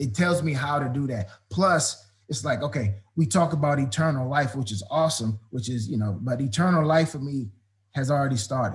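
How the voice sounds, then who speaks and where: A man speaks with an American accent in a fairly high, somewhat breathy voice. His pace is moderate and his intonation lively. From Washington, D.C. area, US. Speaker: football coach. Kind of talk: interview. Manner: animated.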